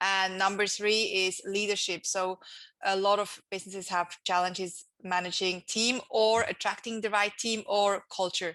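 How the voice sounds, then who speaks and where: A woman with a Swiss accent speaks in a bright, sharp tone. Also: medium pitch for a woman, fairly even intonation, moderate pace, quiet background. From Switzerland. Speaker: entrepreneur and author. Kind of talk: interview.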